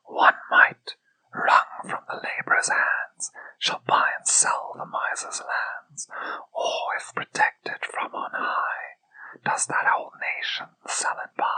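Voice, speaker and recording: The voice is whispering. The pace is very slow. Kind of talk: whispered poetry reading. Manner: whispered.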